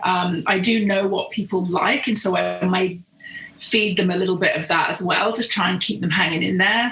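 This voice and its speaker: With a British accent, a woman talks with ordinary pitch variation and very even loudness against noticeable background noise. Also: medium pitch for a woman, moderate pace. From southern England. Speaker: professional photographer. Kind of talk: podcast interview.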